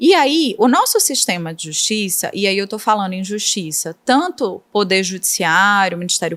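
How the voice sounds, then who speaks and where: A woman's fairly slow speech with very wide pitch swings. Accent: Recife. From Brazil, Northeast (Recife, Pernambuco). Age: 30s. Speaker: prosecutor. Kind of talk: podcast interview. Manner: explanatory, didactic.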